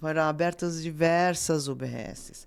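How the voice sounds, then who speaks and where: Heard on a very clean recording with a silent background, a woman speaks at a fairly low pitch. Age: 60s. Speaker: dentist. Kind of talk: interview. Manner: halting.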